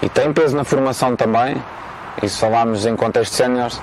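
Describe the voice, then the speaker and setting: A man moves through his speech at a fairly quick pace, with noticeable background noise behind him. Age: 30s. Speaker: football coach. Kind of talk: interview. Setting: outdoors in a park.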